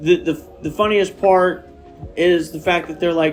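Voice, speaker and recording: Against music in the background, a man speaks at a moderate pace in a high pitch with ordinary pitch variation. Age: 30s. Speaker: podcast host. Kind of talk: casual chat. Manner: rambling, lots of fillers.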